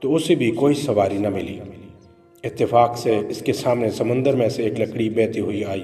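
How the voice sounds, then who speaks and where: A man's medium-pitched voice with ordinary pitch variation, music playing in the background. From Pakistan. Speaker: voice-over artist. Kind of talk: religious story narration.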